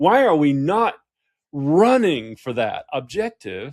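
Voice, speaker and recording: The speaker has an American accent and very wide pitch swings. The recording is very clean, with a silent background. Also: man. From US South. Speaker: executive coach and author. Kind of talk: interview conversation. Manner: animated.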